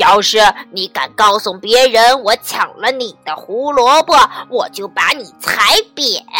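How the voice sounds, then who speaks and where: A woman's put-on character voice, fairly high in pitch and fairly slow, with faint music in the background. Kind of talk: harsh, shouting. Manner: threatening, loud.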